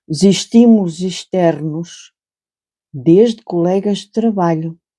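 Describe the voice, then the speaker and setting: In a calm tone, a woman talks with a European Portuguese accent at a fairly low pitch. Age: 60s. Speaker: crochet channel host and storyteller. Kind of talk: casual reflective talk while crocheting. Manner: calm, unhurried; halting, with repetitions.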